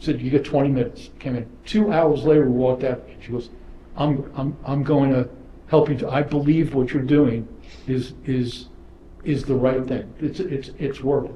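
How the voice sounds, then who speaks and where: Speaking at a moderate pace with an American accent, a man uses a fairly high, somewhat breathy voice and fairly even intonation. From New York, Brooklyn. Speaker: property developer. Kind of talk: panel discussion. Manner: repetitive stammering starts.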